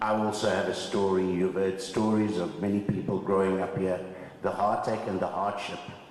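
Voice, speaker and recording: A man is speaking amid noticeable background noise. The room echo is audible too. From South Africa, Cape Town (District Six). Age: 70s. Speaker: former resident and land claimant. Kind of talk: testimony.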